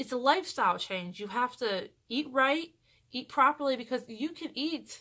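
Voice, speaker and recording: Raised and projected, a woman's high, bright, sharp voice carries lively intonation at a fairly slow pace on a very clean recording with a silent background. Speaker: vlogger. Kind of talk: casual vlog update.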